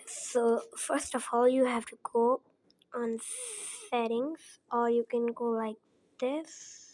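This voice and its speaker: Speaking very slowly with long, frequent pauses, a woman with a non-native accent holds a high pitch in a monotone, flat intonation. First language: not English. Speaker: phone tutorial creator. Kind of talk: tutorial. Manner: halting, many repetitions and fillers.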